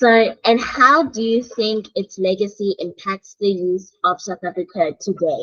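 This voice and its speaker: A woman speaks with an ordinary speaking voice at a medium pitch, showing ordinary pitch variation. Her pace is fairly slow, with hardly any pauses. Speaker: radio show host. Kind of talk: interview questions.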